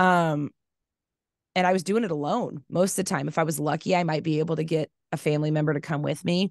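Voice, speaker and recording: A woman with an American accent, very deep and low in pitch, talking at a very fast pace with fairly even intonation over a quiet background. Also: dry sound with no echo. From Kansas. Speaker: crafter and mother; podcast guest. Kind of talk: casual chat. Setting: video call. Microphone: headset.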